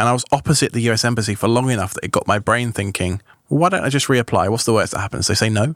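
A man with a British accent talks at a very fast pace. The recording is dry and close, with no echo. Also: medium pitch for a man, ordinary pitch variation, very clean recording, silent background. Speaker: tech podcaster. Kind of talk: casual chat. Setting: studio.

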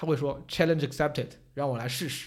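The man's voice is fairly high and somewhat breathy, with ordinary pitch variation. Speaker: stand-up comedian and debate show contestant. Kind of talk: casual chat. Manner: animated, joking.

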